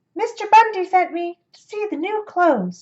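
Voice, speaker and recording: A woman's squeaky, put-on character voice at an extremely high pitch, moderate pace and ordinary pitch variation. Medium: read story. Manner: nervous.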